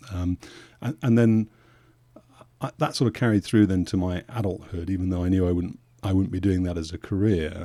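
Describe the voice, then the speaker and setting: At a fairly quick pace but with long, frequent pauses, a dark, mellow voice with a British accent and ordinary pitch variation comes through a very clean recording with a silent background. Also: man, very deep, low pitch for a man. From England, Suffolk. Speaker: aviation journalist and podcaster. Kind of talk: podcast interview. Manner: halting, with frequent repeats.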